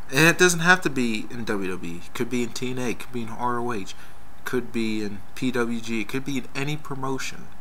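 A man speaks at a moderate pace and medium pitch with an enthusiastic tone and ordinary pitch variation, over light background noise. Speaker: wrestling fan video blogger. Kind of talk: casual video response rant about wrestling matches. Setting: online video, talking to camera. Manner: conversational, rambling, with fillers and restarts; opinionated, emphatic, enthusiastic. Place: home room. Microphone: webcam.

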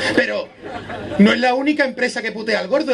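With light background noise behind him, a man speaks at a moderate pace. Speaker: stand-up comedian. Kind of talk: stand-up comedy monologue to live audience. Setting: live venue with audience. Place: beach. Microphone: camera far.

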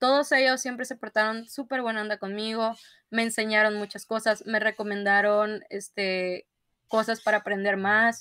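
Bright, sharp tone from a woman with a fairly high pitch and a northern Mexican accent, fairly even intonation, dry sound with no echo, and a quiet background. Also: moderate pace. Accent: northern Mexican (Sinaloa). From northern Mexico, Culiacán, Sinaloa; Sinaloa, Mexico. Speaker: software engineer, cybersecurity specialist; guest. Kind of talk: interview. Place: home room.

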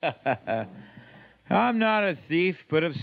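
Against a quiet background, a man speaks with high pitch and ordinary pitch variation. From Canada. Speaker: poet. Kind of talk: poetry reading. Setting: home recording, 1993 archive tape. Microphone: old recording.

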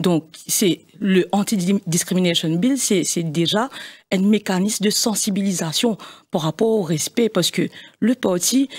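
Over a quiet background, a woman speaks with ordinary pitch variation. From Mauritius. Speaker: party executive member; guest. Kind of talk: political debate interview. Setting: studio. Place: studio. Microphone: studio mic.

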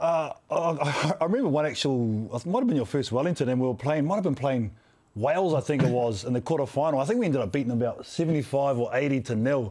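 A man with a New Zealand accent, fairly high in pitch, very fast and lively in intonation, over a quiet background. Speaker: sports podcast host. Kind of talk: interview. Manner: casual. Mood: warm, reminiscing, joking. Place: studio. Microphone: studio mic.

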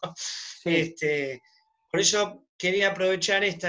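The background is quiet as a man speaks. His voice is high-pitched, with a bright, sharp tone. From Argentina, Buenos Aires. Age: 50s. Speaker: shop owner. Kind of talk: audience question. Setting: video call. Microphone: video call.

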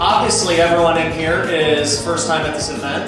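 A man at a moderate pace amid strong room echo, with clear music in the background. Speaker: event host on stage. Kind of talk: motivational stage speech. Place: hall.

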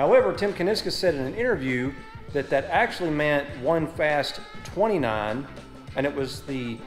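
Over faint background music, a man talks at a moderate pace. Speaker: car channel host. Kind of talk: casual vlog chat. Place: garage. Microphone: phone near.

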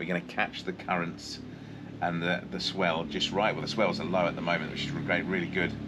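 Against noticeable background noise, a man speaks in a very deep, low voice. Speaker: dive guide or vlogger. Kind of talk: tutorial-style explanation.

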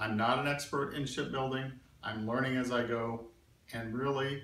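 Speech comes at a moderate pace with fairly even intonation. Audible room echo and faint music in the background can be heard. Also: man. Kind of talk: tutorial vlog. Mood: calm, friendly, modest.

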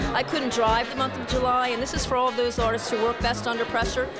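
A woman speaks over loud music in the background. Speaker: high school art teacher. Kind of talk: interview answer. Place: hall. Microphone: handheld.

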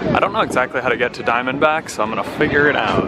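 A man talking at a fairly quick pace, dry with no echo, over loud background noise. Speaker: travel vlogger. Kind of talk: casual vlog chat. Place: street. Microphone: phone near.

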